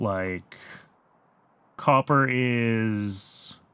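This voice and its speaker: Here is a man with an American accent. His pitch is medium, with ordinary variation. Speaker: video game streamer. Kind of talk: live gameplay commentary. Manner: casual, thinking aloud with fillers.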